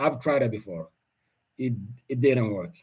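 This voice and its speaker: A man with a non-native accent, lively intonation and a moderate pace. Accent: non-native accent, self-noted. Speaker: investing YouTuber. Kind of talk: live stream update. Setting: livestream. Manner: halting, repeats words.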